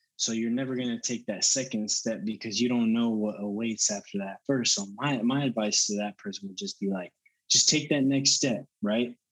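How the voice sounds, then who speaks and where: A man speaks at a moderate pace with ordinary pitch variation and hardly any pauses. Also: medium pitch for a man. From Texas (Allen and Denton). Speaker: fitness coach. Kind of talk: interview.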